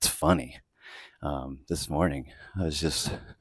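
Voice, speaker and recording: Quiet speech at a moderate pace comes through dry and close with no echo, on a very clean recording with a silent background. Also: man. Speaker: podcast host. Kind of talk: casual vlog monologue while walking. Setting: outdoors, walking the dog early morning. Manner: quiet, kept voice down.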